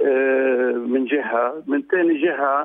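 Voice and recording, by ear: At a fairly slow pace, a man talks at a medium pitch. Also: ordinary pitch variation.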